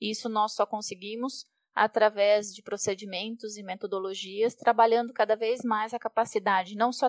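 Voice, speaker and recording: At a moderate pace, a woman speaks in a flat, monotone way with a fairly high pitch, and the sound is dry and close with no echo. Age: 40s. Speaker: project manager at a tech company. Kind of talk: podcast interview.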